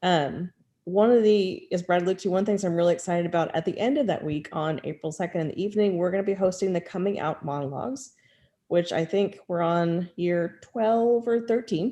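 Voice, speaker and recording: Speaking fairly quickly with an American accent, a woman has a dark, mellow tone, medium pitch and ordinary pitch variation. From outside the US South. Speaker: university pride center staff member. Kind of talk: online panel presentation. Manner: fast.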